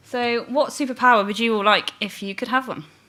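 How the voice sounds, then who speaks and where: Over noticeable background noise, a woman talks at a fairly quick pace with a fairly high pitch and ordinary pitch variation. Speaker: marketing manager presenting at a conference. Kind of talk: conference presentation. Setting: stage with audience. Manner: fast.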